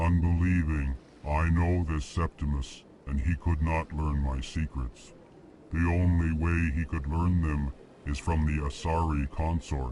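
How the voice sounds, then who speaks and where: Against clear background noise, a man uses a put-on character voice with a very deep, low pitch and a fairly slow pace. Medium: video game. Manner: flat, announces feelings before speaking.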